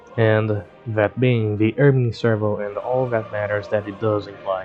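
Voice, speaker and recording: With music in the background, a man speaks at a moderate pace in a fairly low pitch with monotone, flat intonation. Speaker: game tutorial creator. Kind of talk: gameplay commentary narration.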